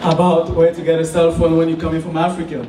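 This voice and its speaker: Over noticeable background noise and audible room echo, a man with a Cameroonian French accent speaks at a fairly quick pace. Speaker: student entrepreneur. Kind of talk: business pitch. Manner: halting.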